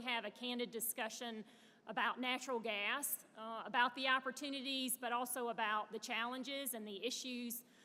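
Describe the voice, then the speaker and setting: Her high pitch and bright, sharp tone come through in a woman's monotone, flat intonation. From US South (Birmingham, Alabama). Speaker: panel moderator, natural gas industry director. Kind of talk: conference panel moderation speech. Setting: stage with audience at conference. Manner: frequent filler hesitations.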